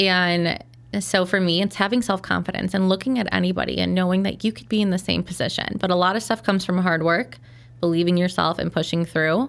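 A woman speaks in a normal speaking voice at medium pitch, with ordinary pitch variation and a fairly quick pace. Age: 30s. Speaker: skincare business founder and CEO. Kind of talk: interview.

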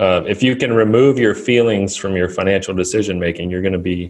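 Fairly even intonation runs through a normal speaking voice that has hardly any pauses. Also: man. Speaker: financial advisor and author. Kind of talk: interview.

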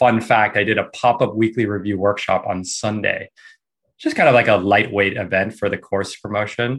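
Against a quiet background, a man with an unremarkable speaking voice talks at a fairly quick pace, fairly low in pitch with fairly even intonation. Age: 40s. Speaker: productivity course teacher, former finance worker. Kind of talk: online workshop presentation.

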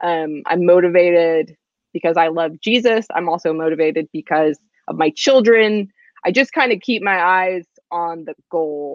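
At a moderate pace, a woman talks in an unremarkable speaking voice, fairly low in pitch with ordinary pitch variation. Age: 20s. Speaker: novelist. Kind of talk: interview.

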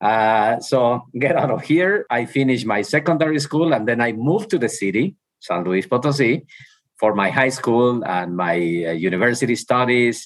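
Over a quiet background, a man of medium pitch with a Mexican accent speaks at a moderate pace with lively intonation and very even loudness. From Mexico. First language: Spanish. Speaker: university president. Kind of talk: interview conversation. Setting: video call.

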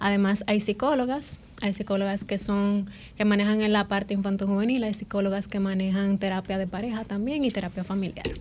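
A normal speaking voice from a woman of medium pitch, fairly quick in pace, with fairly even intonation. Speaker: psychiatrist. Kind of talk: interview.

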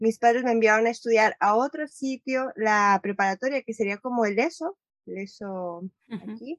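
A woman's normal speaking voice, fairly high in pitch, with ordinary pitch variation, big swings in loudness, and a dry, close sound with no echo. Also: moderate pace. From Mexico, Guadalajara. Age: 30s. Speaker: filmmaker and nomadic entrepreneur. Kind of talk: interview.

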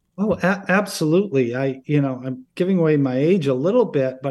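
A man with an American accent speaks in a plain, everyday voice, at a fairly quick pace and a fairly high pitch, with lively intonation over a quiet background. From upstate New York (Oneonta). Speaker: political science professor. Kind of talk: interview.

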